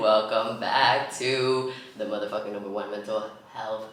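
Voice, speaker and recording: A man speaks in an animated tone, with audible room echo and noticeable background noise. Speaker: podcast host. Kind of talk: casual chat. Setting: home recording setup, not a studio.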